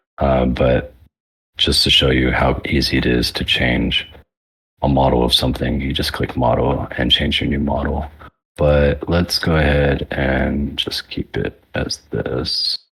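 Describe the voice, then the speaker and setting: The pace is fairly slow. The intonation stays monotone and flat. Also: man, very deep, low pitch for a man. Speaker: workshop presenter. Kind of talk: tutorial. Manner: casual, filler-heavy; speeding up.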